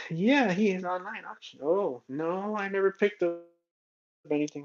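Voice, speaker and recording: A man speaks with ordinary pitch variation. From southern California. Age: 30s. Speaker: toy car collector streamer. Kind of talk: casual livestream chat. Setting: livestream. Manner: casual, rambling with fillers.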